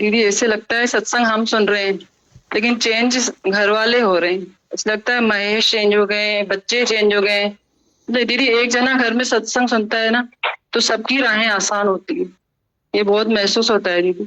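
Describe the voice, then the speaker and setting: With a bright, sharp tone and very even loudness, a woman talks at a fairly high pitch. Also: fairly even intonation, moderate pace. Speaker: devotee at satsang. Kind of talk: testimony.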